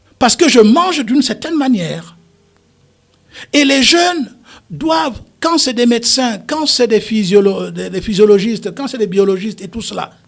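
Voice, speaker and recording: The speaker keeps a moderate pace and lively intonation. Music plays in the background. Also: man, high pitch for a man. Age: 70s. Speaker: politician, party founder. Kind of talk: radio talk show interview. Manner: animated.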